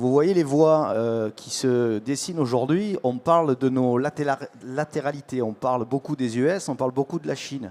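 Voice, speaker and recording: With a Marseille accent, the speaker talks at a moderate pace with ordinary pitch variation, and the sound is dry and close with no echo. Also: man. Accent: southern French (Marseille). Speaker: tech panelist. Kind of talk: panel discussion.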